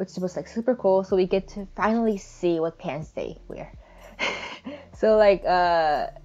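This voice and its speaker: A woman's dark, mellow voice at medium pitch, with a non-native accent, ordinary pitch variation, a fairly slow pace and big swings in loudness. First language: not English. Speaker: digital artist. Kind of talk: speedpaint voiceover chat. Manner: halting.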